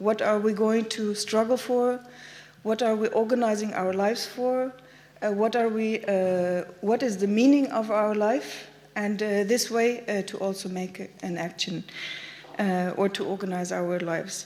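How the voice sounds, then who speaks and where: Speaking in a German accent, a woman with a fairly high pitch and a dark, mellow tone keeps her intonation fairly even at a fairly slow pace, with audible room echo around her. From Germany. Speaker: activist speaker. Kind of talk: conference talk. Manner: halting.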